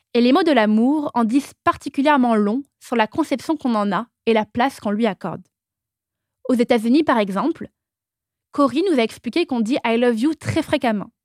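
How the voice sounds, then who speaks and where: On a very clean recording with a silent background, a woman's high voice comes through dry and close with no echo, moving at a moderate pace with ordinary pitch variation. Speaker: podcast host. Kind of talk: scripted narration.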